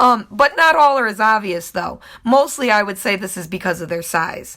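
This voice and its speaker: Her tone comes across bright and sharp. The woman keeps a moderate pace. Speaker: YouTuber narrating a video. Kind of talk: video narration.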